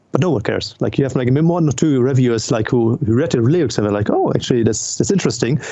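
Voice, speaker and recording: Noticeable background noise sits under a man with a German accent. He talks at a very fast pace with ordinary pitch variation. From Germany. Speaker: metal vocalist and record label owner. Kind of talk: casual chat. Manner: halting, many fillers.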